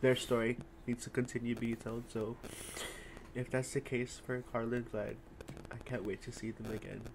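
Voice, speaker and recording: A man speaks at a moderate pace with long, frequent pauses, his pitch medium and his intonation flat and monotone. Noticeable background noise runs under the clip. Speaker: reaction video host. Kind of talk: casual chat.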